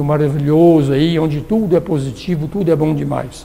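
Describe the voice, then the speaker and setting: Audible room echo and noticeable background noise surround a man's voice. He speaks at a moderate pace. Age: 60s. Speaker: theosophy lecturer. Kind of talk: lecture. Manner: casual.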